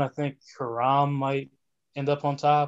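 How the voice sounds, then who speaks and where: Here a man with an American accent speaks at a fairly high pitch. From southern New Jersey. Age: 20s. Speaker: writer with journalism background. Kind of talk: casual chat.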